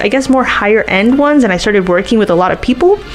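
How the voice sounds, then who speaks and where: A woman with a Miami accent speaks at a very fast pace and fairly high pitch, her pitch swinging very widely amid noticeable background noise. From Miami, Florida. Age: 20s. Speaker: tour guide. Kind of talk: casual interview chat. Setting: studio. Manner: animated.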